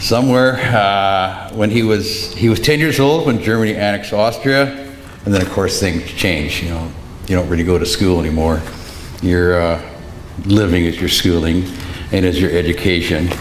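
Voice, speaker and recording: Lively intonation at a moderate pace comes through with audible room echo and noticeable background noise. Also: man, very deep, low pitch for a man. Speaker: eulogist, son of the deceased. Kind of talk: eulogy. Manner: loud.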